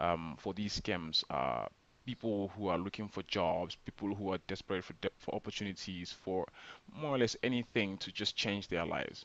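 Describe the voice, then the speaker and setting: With a non-native accent, the speaker keeps a moderate pace and ordinary pitch variation, in a dry, close sound with no echo. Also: man, fairly low pitch for a man. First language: not English. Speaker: scam awareness vlogger. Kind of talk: informal explainer video. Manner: hesitant, many fillers.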